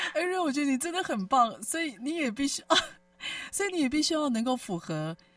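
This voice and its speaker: A woman with a high pitch talks at a fairly quick pace, her pitch swinging very widely. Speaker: radio host. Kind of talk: radio interview chat. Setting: studio.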